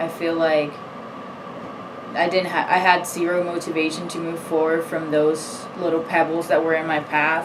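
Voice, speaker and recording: A woman talks at a fairly low pitch, with audible room echo and noticeable noise in the background. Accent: Spanish. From Puerto Rico. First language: Spanish. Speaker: student athlete. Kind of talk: personal testimony. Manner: hesitant, many fillers.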